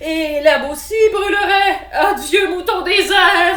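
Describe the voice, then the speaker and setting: In a loud, put-on character voice with an extremely high pitch, a woman talks at a fairly slow pace over light background noise. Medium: read story. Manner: loud, exclaiming.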